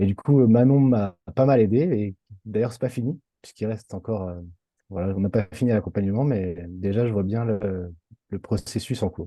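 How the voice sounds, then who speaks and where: Pitched fairly low, the man keeps a moderate pace and shows ordinary pitch variation. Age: 30s. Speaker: former clown performer, coaching client. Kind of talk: testimony interview. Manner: halting, many fillers.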